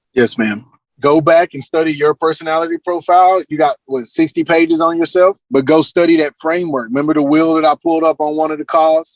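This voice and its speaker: A man at fairly high pitch, fairly quick and with hardly any pauses, intonation fairly even. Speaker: real estate coach. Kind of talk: group coaching Q&A. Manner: fast.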